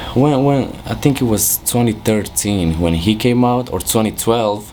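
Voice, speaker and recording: A man with a Romanian accent speaks fairly slowly at a fairly low pitch with ordinary pitch variation. Noticeable background noise runs under the recording. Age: 20s. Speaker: music producer. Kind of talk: interview. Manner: casual, hesitant with fillers.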